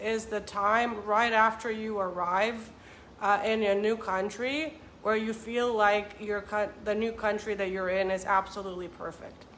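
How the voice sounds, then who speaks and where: With a Romanian accent, a woman with a fairly high voice speaks at a moderate pace and fairly even intonation amid audible room echo. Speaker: vlogger and author. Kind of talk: casual vlog talk to camera.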